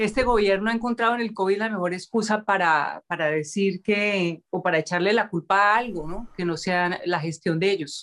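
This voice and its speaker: Speaking at a moderate pace in a medium pitch, a woman uses an ordinary speaking voice with ordinary pitch variation. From Colombia, Cali. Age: 50s. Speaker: public figure, interviewer. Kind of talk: casual interview chat.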